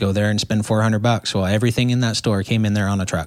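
Speaking with an American accent at a very fast pace, a man uses a fairly low pitch and fairly even intonation on a very clean recording with a silent background. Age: 20s. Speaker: truck driver. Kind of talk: casual chat.

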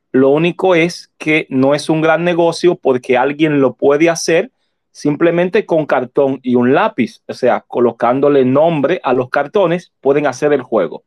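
This man has a normal speaking voice with ordinary pitch variation. He speaks at a fairly high pitch and a fairly slow pace. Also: very even loudness. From Dominican Republic. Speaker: shop owner and board game creator. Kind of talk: interview. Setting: online audio room.

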